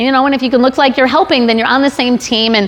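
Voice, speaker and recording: A woman speaks in an animated tone. Noticeable background noise runs behind her. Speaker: sales trainer, conference speaker. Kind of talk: conference talk with audience questions. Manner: fast; conversational, animated.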